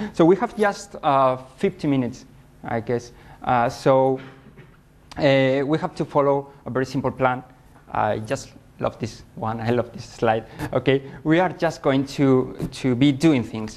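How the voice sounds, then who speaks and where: A man speaks at a fairly slow pace with a Spanish accent. His pitch sits in the medium range. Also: ordinary pitch variation. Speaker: software debugging consultant. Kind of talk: conference talk. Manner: slow, deliberate; hesitant, many fillers.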